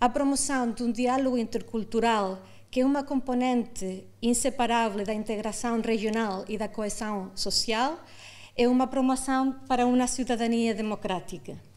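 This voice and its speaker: A fairly high-pitched woman's voice with a non-native accent, moderate in pace and fairly even in intonation, with audible room echo. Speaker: conference panelist, international organization official. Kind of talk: conference presentation. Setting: auditorium with audience. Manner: halting, many fillers.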